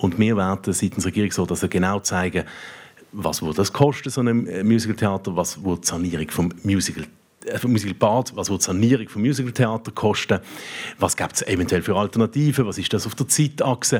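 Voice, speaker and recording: A man speaks at a fairly quick pace with a fairly low pitch and ordinary pitch variation. It is a normal speaking voice. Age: 40s. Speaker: politician. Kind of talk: panel debate. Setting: stage with audience.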